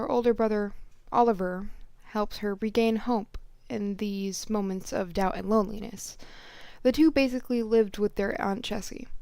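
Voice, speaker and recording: Pitched fairly high, a woman's voice carries a dark, mellow tone and fairly even intonation. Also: moderate pace. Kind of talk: story reading. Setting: home recording. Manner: halting, uneven breathing.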